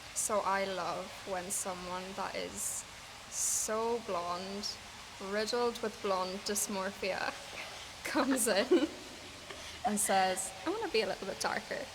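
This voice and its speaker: With an Irish accent, a woman of medium pitch speaks very slowly, with long, frequent pauses, ordinary pitch variation and noticeable background noise. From Ireland. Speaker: hairstylist. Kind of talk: interview answer.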